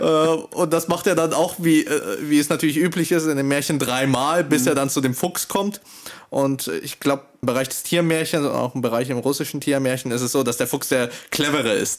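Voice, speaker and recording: His pitch is fairly high, with ordinary variation. The man speaks at a moderate pace. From Russian-speaking family background. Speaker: literature student podcast host. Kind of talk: casual academic discussion. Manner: hesitant, many fillers.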